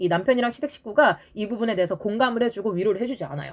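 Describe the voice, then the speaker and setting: Her delivery is animated. This woman talks very fast. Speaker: graduate student. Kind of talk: casual lecture.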